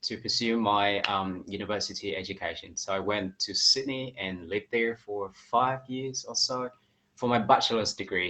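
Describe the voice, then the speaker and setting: A man speaks at a moderate pace with a slight Australian accent and a bright, sharp tone. His pitch sits fairly low, and his intonation stays fairly even. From Vietnam. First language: Vietnamese. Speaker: English teacher. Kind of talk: interview.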